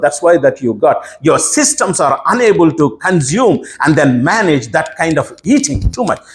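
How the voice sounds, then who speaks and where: A man's speech, delivered at a medium tempo, comes through with clearly audible background noise. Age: 60s. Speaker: pastor. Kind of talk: sermon.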